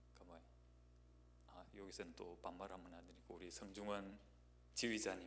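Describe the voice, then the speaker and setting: In a room with audible echo, a man talks with a very deep, low pitch, vocal fry and very wide pitch swings. His loudness shifts widely, and he leaves long, frequent pauses. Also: moderate pace. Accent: Gyeongsang. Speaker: guest pastor. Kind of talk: sermon introduction, casual personal remarks. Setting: church. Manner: hesitant, many fillers.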